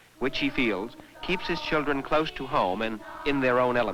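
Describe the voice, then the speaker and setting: Someone speaks at a fairly quick pace with ordinary pitch variation against noticeable background noise. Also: man. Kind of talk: documentary narration.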